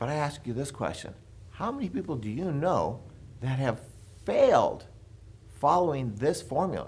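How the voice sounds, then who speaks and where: A somewhat breathy voice with an American accent and lively intonation, moving at a moderate pace with long, frequent pauses and audible room echo. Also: man, fairly high pitch for a man. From Los Angeles, California (Compton). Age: 60s. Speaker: real estate educator. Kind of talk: seminar presentation.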